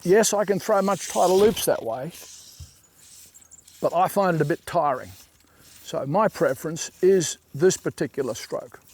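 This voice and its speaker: Recorded with a dry, close sound and no echo, a man with a high pitch and ordinary pitch variation talks at a moderate pace with long, frequent pauses. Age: 60s. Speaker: fly fishing casting instructor. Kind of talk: tutorial.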